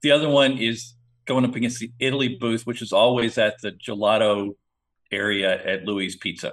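A man at a medium pitch and moderate pace, a plain, everyday voice. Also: fairly even intonation. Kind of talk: casual podcast chat.

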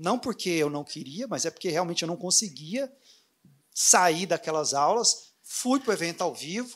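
Delivered at a moderate pace, the speech has lively intonation. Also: man. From Brazil, Anápolis (Goiás). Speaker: dentist and online course creator. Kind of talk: interview at a live event.

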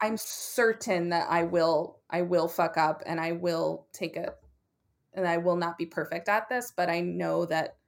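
With an unremarkable speaking voice, a woman talks at a moderate pace, her pitch fairly low and its variation ordinary. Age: 30s. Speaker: comedian and playwright. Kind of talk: casual interview.

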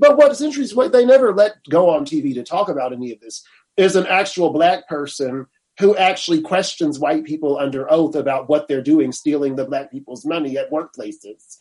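Speaking in an ordinary speaking voice, a man with a fairly high pitch moves at a fairly quick pace with lively intonation. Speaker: law professor and attorney. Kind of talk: interview. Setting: video call.

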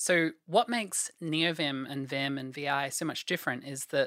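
On a very clean recording with a silent background, a woman talks in a very deep, low pitch. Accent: Australian. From Australia. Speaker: programmer. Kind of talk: casual interview, tech explanation.

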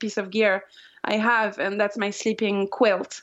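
In a French accent, a woman talks at a fairly slow pace with a fairly high pitch. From France, Pyrenees. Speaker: long-distance hiker. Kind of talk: interview.

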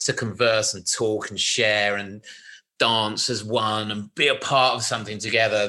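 The voice has a bright, sharp tone and a British accent, set against a quiet background. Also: man. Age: 40s. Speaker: record label executive. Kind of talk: interview.

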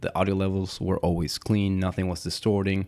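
Speaking at a very fast pace, this man has a fairly low pitch, recorded very cleanly against a silent background. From Puerto Rico. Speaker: audio engineer. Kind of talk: casual interview.

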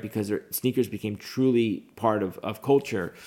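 Here is a man with an unremarkable speaking voice and fairly low pitch. His intonation stays fairly even. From United States. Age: 40s. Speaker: entrepreneur. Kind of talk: interview. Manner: filler-heavy, repeats words.

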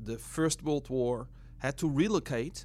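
This man has a Dutch accent. He talks at a fairly slow pace. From Netherlands. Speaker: missionary. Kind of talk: interview conversation.

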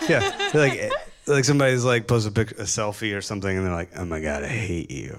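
A man with an American accent talks at a very fast pace in a fairly low pitch, his intonation lively, with noticeable background noise behind him. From US South, Chattanooga, Tennessee. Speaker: graphic designer and artist. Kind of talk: live interview on stage. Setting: stage with live audience.

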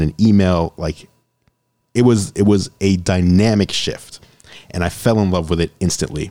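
Here is a man with a very deep, low pitch and a dark, mellow tone, speaking in an American accent. He keeps a moderate pace with ordinary pitch variation. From New York City. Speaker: tech YouTuber and business owner. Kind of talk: casual interview.

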